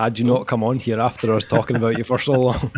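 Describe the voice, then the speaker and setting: Music plays in the background behind a man. He has a Scottish accent and a medium pitch. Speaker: podcast host.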